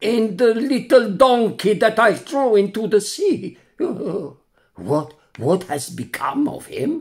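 A man's put-on character voice, high-pitched and shaky, with very wide pitch swings at a very slow pace

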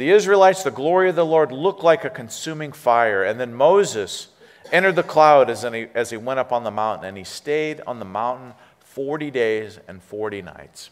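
An American-accented man talks at a moderate pace with a medium pitch. His pitch makes very wide swings, and his loudness swings widely too. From California, US. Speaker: interim pastor. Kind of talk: sermon. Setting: church. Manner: animated. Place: church.

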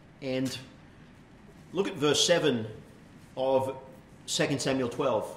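There is audible room echo and light background noise as a man with an Australian accent speaks at a very slow pace. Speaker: pastor. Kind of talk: sermon. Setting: church. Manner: hesitant, frequent fillers. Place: church.

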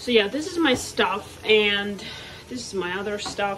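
A woman talks at a moderate pace with ordinary pitch variation, light background noise behind her. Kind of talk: casual vlog chat. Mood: cheerful, relaxed. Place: kitchen. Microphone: phone near.

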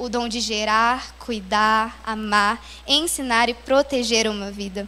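A woman's voice with a bright, sharp tone. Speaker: speaker. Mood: warm, devotional. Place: church. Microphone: handheld.

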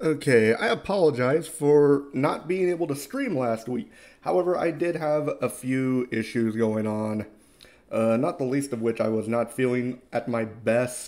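A man talks at a fairly slow pace in a slightly mellow tone. His pitch is medium, with ordinary variation.

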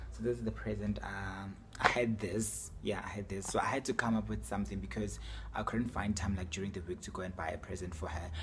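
A man speaks at a very fast pace with a very deep, low pitch. Noticeable background noise runs underneath. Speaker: vlogger. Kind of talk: casual vlog chat. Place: home room. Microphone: phone near.

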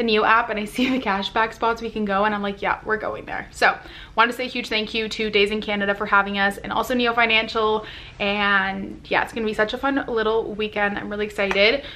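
A woman's bright, sharp tone at a very fast pace, in a monotone, flat intonation. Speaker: vlogger. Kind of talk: casual vlog chat. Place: home room. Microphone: phone near.

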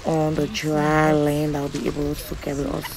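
Light background noise under a fairly slow pace of speech. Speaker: travel vlogger. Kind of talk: casual vlog chat. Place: motorbike. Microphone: phone near.

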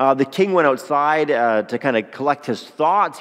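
The background is quiet as a man talks at a moderate pace. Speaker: pastor. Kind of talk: sermon. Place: church. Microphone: headset.

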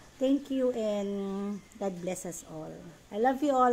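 A woman's lively intonation over light background noise. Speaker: live streamer greeting viewers. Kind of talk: casual live stream chat. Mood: warm, grateful sign-off. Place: home room. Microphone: phone near.

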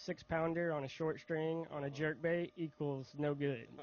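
The speaker has a Southern US accent with fairly even intonation. The sound is dry with no echo. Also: man. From Mississippi. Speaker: bass angler. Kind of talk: stage interview. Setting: outdoor stage with audience. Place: stage. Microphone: handheld.

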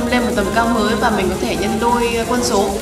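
Over clear music in the background, a woman talks at a fairly quick pace. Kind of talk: interview answer, birthday wishes. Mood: warm, joking. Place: office. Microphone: handheld.

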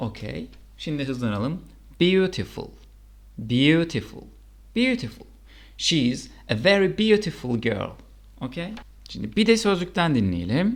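Pitched fairly high, a man speaks at a very slow pace with vocal fry, very wide pitch swings and long, frequent pauses. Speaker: English teacher. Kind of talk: tutorial. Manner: slow, deliberate pronunciation drills.

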